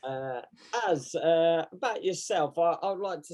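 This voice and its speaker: The speaker has an English accent. The tone is dark and mellow. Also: man. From England. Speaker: podcast co-host and martial arts coach. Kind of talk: casual chat.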